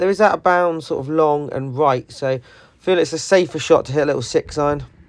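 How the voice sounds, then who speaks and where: A man with a British accent talks at a fairly quick pace with ordinary pitch variation. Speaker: golf vlogger. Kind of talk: voiceover commentary.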